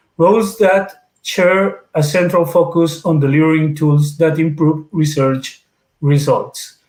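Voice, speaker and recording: A man with a Spanish accent, very slow, with fairly even intonation and very even loudness. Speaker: webinar moderator. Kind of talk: formal introduction. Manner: halting.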